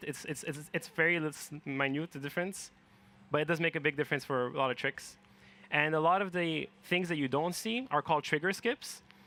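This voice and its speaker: A man's fairly high voice, bright and sharp in tone, with a non-native accent. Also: dry, close sound with no echo. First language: neither English nor French. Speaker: speedrunner. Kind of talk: live game commentary. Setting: event stage with audience.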